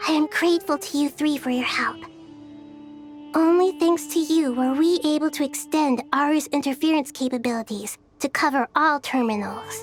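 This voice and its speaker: A high-pitched, cartoonish character voice over clear music in the background. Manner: gentle, earnest.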